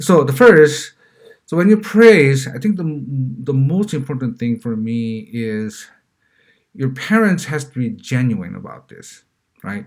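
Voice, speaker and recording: In a Korean accent, a man with fairly high pitch speaks at a fairly slow pace, with very wide pitch swings, big swings in loudness and long, frequent pauses. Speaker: parenting vlogger. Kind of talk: casual monologue. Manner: halting, many fillers and repeats.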